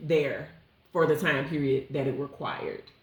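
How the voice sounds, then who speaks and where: Woman with an American accent at a moderate pace, amid audible room echo. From St Louis, Missouri. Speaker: podcast co-host. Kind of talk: casual chat.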